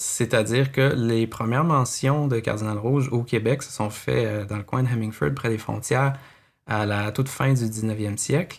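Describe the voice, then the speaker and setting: Over a silent background in a very clean recording, a man with a medium-pitched voice speaks fairly slowly with fairly even intonation. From Quebec City. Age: 30s. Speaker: ornithologist, park patroller. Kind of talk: interview. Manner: halting, with filler words.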